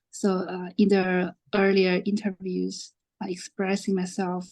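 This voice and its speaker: A woman talks at a fairly slow pace. Behind her, the background is quiet. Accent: non-native. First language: not English. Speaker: bootcamp alumnus, marketing data analyst. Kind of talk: panel discussion.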